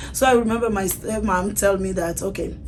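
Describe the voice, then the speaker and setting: There is audible room echo around the speaker. A woman with a medium-pitched voice talks with fairly even intonation. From Togo, West Africa. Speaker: salon owner, refugee. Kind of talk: personal testimony.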